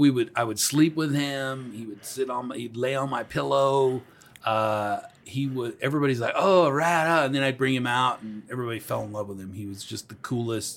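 A man with a plain, everyday voice at medium pitch, fairly quick pace, ordinary pitch variation and big swings in loudness. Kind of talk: casual chat. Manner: loud and playful, joking.

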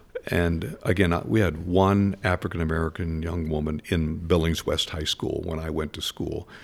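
A man's very deep, low voice at a moderate pace, with fairly even intonation, hardly any pauses and noticeable background noise. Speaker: war veteran and former state legislator. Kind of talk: interview. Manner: halting.

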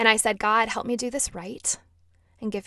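A woman with an American accent and fairly high pitch talks at a moderate pace against a quiet background. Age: 20s. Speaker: podcast host. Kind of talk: personal testimony.

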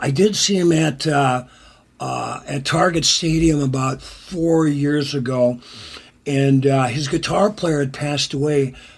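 A man with an American accent speaks at a fairly slow pace and a fairly high pitch. Noticeable background noise is present. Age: 60s. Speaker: songwriter and musician. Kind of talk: casual interview.

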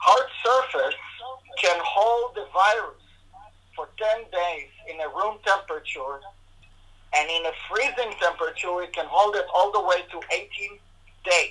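A man with a high pitch projects a raised voice at a fairly slow pace, with ordinary pitch variation. He leaves long, frequent pauses over noticeable background noise. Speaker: integrative medicine doctor. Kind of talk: interview answering questions. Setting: video call.

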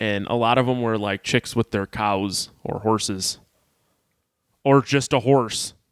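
A man with a plain, everyday voice talks at medium pitch and a fairly slow pace. His intonation is fairly even, and the sound is dry and close with no echo. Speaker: podcast host. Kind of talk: casual chat.

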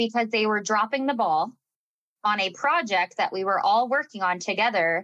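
Bright and sharp in tone, a woman's fairly high voice moves at a moderate pace. Her intonation is lively. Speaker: wedding business podcast co-host. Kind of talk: casual chat. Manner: direct.

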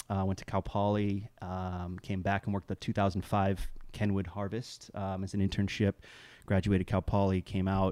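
A man with a dark, mellow tone speaks in a monotone, flat way, recorded dry and close with no echo against a silent, very clean background. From England. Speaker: vineyard manager and winemaker. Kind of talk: casual chat.

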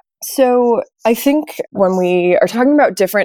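Dry and close with no echo, a woman with an American accent has a dark, mellow tone and ordinary pitch variation. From New York. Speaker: oceanography PhD student. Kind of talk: interview.

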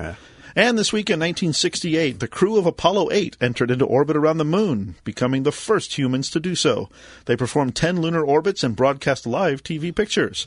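Against a quiet background, a man with a normal speaking voice talks at a fairly quick pace, his fairly high pitch carried by lively intonation. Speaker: co-host. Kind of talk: casual tech chat.

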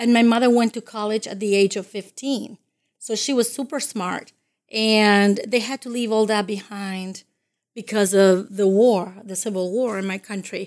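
Speaking at a moderate pace with fairly even intonation, a woman with a fairly high pitch and a Spanish accent shows big swings in loudness in a very clean recording with a silent background. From Dominican Republic. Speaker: college career services coordinator. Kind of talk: interview.

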